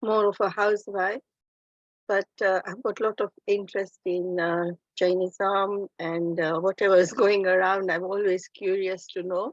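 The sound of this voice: A woman's voice shows little pitch movement, with a dry, close sound and no echo. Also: medium pitch for a woman, moderate pace.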